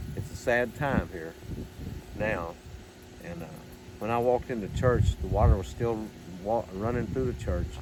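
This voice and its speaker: Lively intonation from a man with a fairly low pitch, at a moderate pace broken by long, frequent pauses, with audible room echo. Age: 70s. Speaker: church elder. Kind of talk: guided tour. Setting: indoors, church building.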